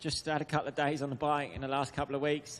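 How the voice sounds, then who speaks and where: This is a man speaking with a southern English accent. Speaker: motocross rider. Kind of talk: press conference answers. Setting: media center press conference.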